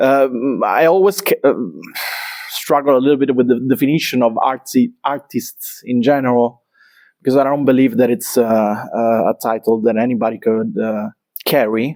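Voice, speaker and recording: This man speaks with an Italian accent at a moderate pace. His pitch sits in the medium range and varies in an ordinary way. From Italy, Naples. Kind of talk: interview conversation. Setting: artist's studio. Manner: halting, many fillers.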